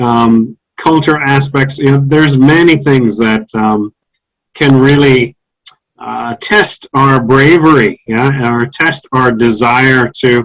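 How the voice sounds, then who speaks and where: In an American accent, a man speaks at a very slow pace. The sound is dry and close, with no echo. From US South. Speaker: English teacher. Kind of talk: online seminar discussion.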